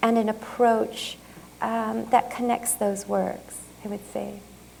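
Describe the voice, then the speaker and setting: A woman's fairly high voice with a Japanese accent, amid noticeable background noise and audible room echo. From Japan and California, US. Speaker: artist. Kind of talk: lecture Q&A. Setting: museum talk with audience. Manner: halting, many fillers.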